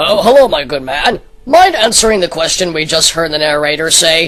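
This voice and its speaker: Using a put-on character voice, a man speaks at a moderate pace in a high pitch, with faint music in the background. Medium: comedy sketch.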